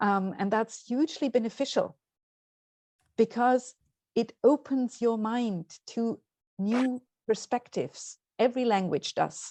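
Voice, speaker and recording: A woman with a German accent speaks at a fairly slow pace, leaving long, frequent pauses. Her fairly high voice has a dark, mellow tone and ordinary pitch variation, with a dry, close sound and no echo. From Austria. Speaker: parents' association representative, webinar speaker. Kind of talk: webinar Q&A answer.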